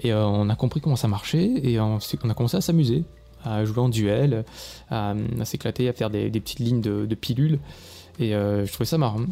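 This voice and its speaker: Speaking at a fairly quick pace, a man leaves long, frequent pauses. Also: medium pitch for a man, ordinary pitch variation. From southern France, Vaucluse near Avignon. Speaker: indie video game developer, podcaster. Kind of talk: solo personal storytelling podcast.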